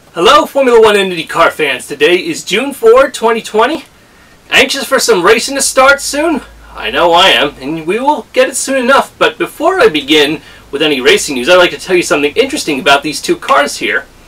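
A man talks at a fairly quick pace in a raised, projected voice, his pitch swinging very widely. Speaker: racing fan vlogger. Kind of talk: casual vlog chat. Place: home room. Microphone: camera far.

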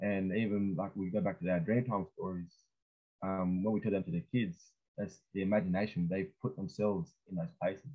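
Over a quiet background, a man with a fairly low pitch speaks at a fairly quick pace. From New South Wales, Australia. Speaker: speaker. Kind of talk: welcome to country and panel discussion. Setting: video call. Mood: calm, earnest. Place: home room. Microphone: webcam.

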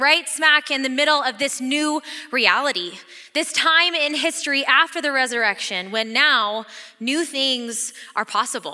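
At a fairly slow pace, a woman speaks in a high pitch with a bright, sharp tone and ordinary pitch variation over a quiet background. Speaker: associate pastor. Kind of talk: sermon. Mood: warm, excited, laughing. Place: hall. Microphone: headset.

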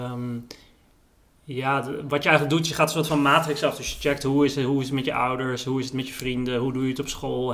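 At a fairly quick pace, a man talks at medium pitch with monotone, flat intonation. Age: 30s. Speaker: writer and journalist; interview guest, journalist. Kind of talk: casual chat.

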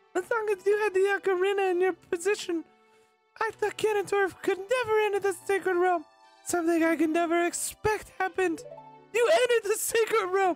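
A woman's put-on character voice, extremely high-pitched, at a fairly quick pace, with fairly even intonation, very even loudness and faint music in the background. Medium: fan dub. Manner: formal, expository.

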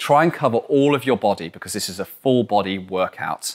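Male voice with a quiet background. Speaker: climbing coach. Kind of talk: tutorial. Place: gym. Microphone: lapel.

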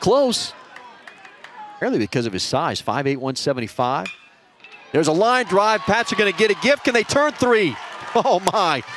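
Over noticeable background noise, the voice moves at a moderate pace with very wide pitch swings and long, frequent pauses. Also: man, high pitch for a man. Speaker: sports commentator. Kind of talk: live baseball play-by-play commentary.

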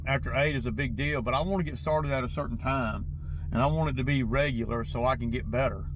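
Talking at a very fast pace, a man is heard with a dry sound with no echo and noticeable background noise. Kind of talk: casual vlog chat. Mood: mildly frustrated. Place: car.

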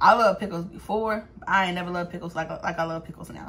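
Fairly quick speech from a woman. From Los Angeles, US. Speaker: YouTuber, vlogger; vlogger. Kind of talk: casual eat-with-me vlog. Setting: eating on camera at home. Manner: animated, frequent laughter. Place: home room. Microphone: phone near.

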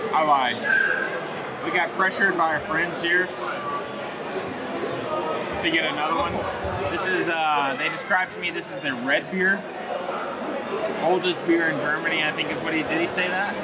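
A man talks at a moderate pace with long, frequent pauses while crowd noise carries in the background. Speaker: travel vlogger. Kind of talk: casual vlog chat. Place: bar. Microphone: phone near.

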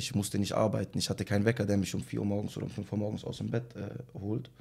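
A man's fairly low-pitched voice with vocal fry, at a very fast pace against a quiet background. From Germany, Tübingen area; Germany. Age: 20s. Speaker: rapper; interviewee. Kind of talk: casual interview. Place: home room. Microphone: studio mic.

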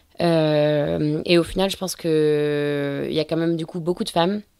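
Intonation stays fairly even throughout. The recording is very clean, with a silent background. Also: woman. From Brittany, north Finistère. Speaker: offshore sailor. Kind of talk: interview. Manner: hesitant, many fillers.

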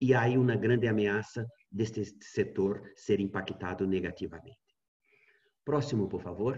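A man's fairly low, somewhat breathy voice at a fairly slow pace, with ordinary pitch variation and a quiet background. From Brazil. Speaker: university researcher. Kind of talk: presentation of survey results. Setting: video call. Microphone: webcam.

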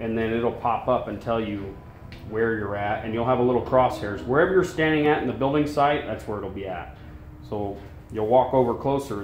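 Light background noise and audible room echo accompany the recording. A man talks through it at a moderate pace. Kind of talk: tutorial. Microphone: phone near.

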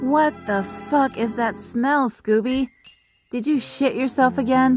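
Over faint music in the background, a female-sounding voice does a cartoonish character voice, high-pitched and fairly slow.

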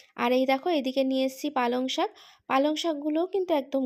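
A woman speaks in a high voice with ordinary pitch variation. The recording is very clean, with a silent background. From Kolkata, West Bengal, India. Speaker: lifestyle vlogger. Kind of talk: casual vlog talk to camera. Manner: animated.

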